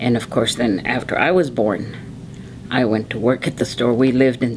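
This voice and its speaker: A woman with an American accent at a moderate pace, amid noticeable background noise. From Arizona, Tucson. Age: 70s. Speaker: oral history interviewee. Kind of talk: oral history interview.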